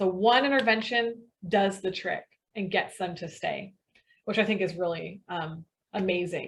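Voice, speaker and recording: Fairly slow, somewhat breathy speech from a woman. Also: medium pitch for a woman, ordinary pitch variation. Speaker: webinar presenter, sales director. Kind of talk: webinar presentation.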